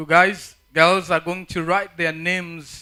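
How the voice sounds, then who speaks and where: The man's tone is bright and sharp. He keeps a very slow pace with fairly even intonation. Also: very clean recording, silent background. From Africa. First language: not English; English is fourth language. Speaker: conference speaker. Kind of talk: talk to youth audience. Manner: halting, repeats words.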